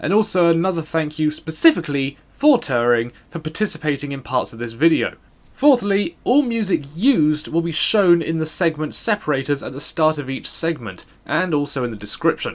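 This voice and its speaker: A quiet man with a British accent, fairly high in pitch, lively in intonation, at a moderate pace. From Britain. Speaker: gaming YouTuber. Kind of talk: scripted voice-over narration. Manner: quiet, subdued in early segments.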